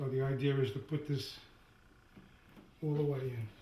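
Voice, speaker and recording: A somewhat breathy male voice. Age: 70s. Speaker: DIY home repair video maker. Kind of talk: tutorial. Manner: halting, repeats words.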